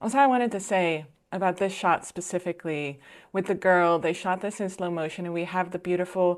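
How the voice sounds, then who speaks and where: On a very clean recording with a silent background, a woman speaks at a fairly quick pace in a Dutch accent, fairly low in pitch with fairly even intonation. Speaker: filmmaker and video reactor. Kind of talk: reaction commentary.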